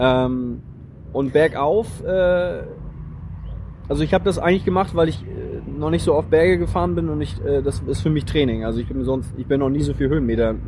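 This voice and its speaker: A moderate pace over noticeable background noise. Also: man. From northern Germany, Flensburg. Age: 30s. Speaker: long-distance cyclist on tour. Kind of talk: casual interview. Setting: recorded on location near a church.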